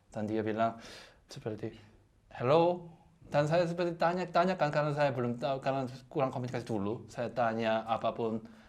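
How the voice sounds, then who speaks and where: A man with a Korean accent speaks at a fairly quick pace, his medium-pitched voice showing ordinary pitch variation. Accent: Korean accent in Indonesian. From South Korea. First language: Korean (speaking Indonesian). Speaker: guest, Korean husband. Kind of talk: casual chat. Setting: radio studio. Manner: halting, many repeated words.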